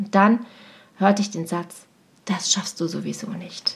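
A woman at medium pitch, fairly slow pace, fairly even intonation, an ordinary speaking voice. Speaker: teacher and coach. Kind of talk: personal podcast monologue.

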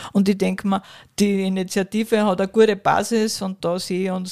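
A woman's medium-pitched voice, dark and mellow in tone, monotone and flat, in a very clean recording with a silent background. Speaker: business executive. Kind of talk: interview. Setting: historic railway carriage.

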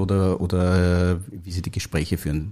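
Recorded very cleanly against a silent background, a man with an Austrian accent speaks very slowly in a dark, mellow tone. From Austria, Upper Austria. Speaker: biotech company founder and CEO. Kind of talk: interview. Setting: studio. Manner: halting, many fillers.

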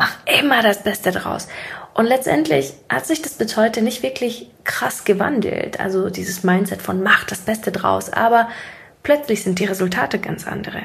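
A woman speaks at medium pitch, somewhat breathy. Her intonation is lively and her pace moderate. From Siberia, Russia. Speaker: podcast host, mindset coach. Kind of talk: monologue, casual motivational talk. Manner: casual, laughing at times.

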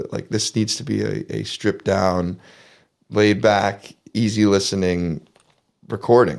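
A man with a Canadian accent, fairly low in pitch, with ordinary pitch variation, vocal fry and a moderate pace. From southwestern Ontario, Canada. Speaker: singer-songwriter. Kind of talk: interview.

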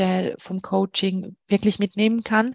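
At a fairly slow pace, a woman with a medium-pitched voice talks in a flat monotone, the sound dry and close with no echo against a quiet background. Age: 30s. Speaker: client of a dating coach, works in HR. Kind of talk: interview, personal testimony. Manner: hesitant with many fillers.

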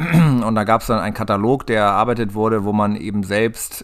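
A man with a fairly low voice, an ordinary speaking voice and ordinary pitch variation. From northern Germany, Hanover area (Lower Saxony). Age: 40s. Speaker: farmer. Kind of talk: interview.

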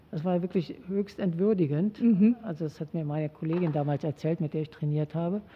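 Fairly quick and somewhat breathy, a woman speaks at a fairly low pitch with ordinary pitch variation. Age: 60s. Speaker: sociologist and former athlete. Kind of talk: interview. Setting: studio.

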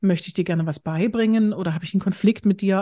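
A woman speaks at a very fast pace, her somewhat breathy voice dark and mellow in tone, with a dry, close sound, no echo and a quiet background. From eastern Germany, Bitterfeld-Wolfen (Saxony-Anhalt). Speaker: humor trainer and speaker. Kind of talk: interview conversation.

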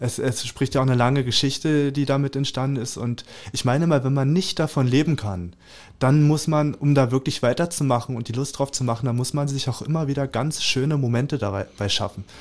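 The man talks at a fairly quick pace. His medium pitch shows ordinary variation. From Germany, Spreewald (Brandenburg). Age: 20s. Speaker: artist. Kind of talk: interview. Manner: halting, many fillers.

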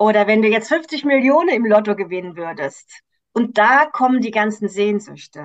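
A woman with an unremarkable speaking voice, fairly high in pitch, at a moderate pace with lively intonation. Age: 50s. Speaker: coach for women, cancer survivor. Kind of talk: interview.

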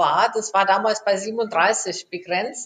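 Very slowly and with fairly even intonation, a woman speaks. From Germany. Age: 50s. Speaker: aerospace engineer. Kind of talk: interview.

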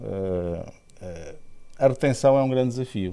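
A man speaks in a dark, mellow tone, and his pitch varies in an ordinary way. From Portugal, Aveiro. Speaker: engineering director. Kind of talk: interview. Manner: halting, with fillers and repetitions.

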